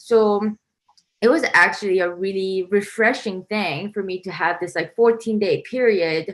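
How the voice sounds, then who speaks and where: A woman speaks with a Korean accent. Her pace is moderate and her intonation fairly even. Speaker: composer. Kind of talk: interview. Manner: casual, many fillers (um, like).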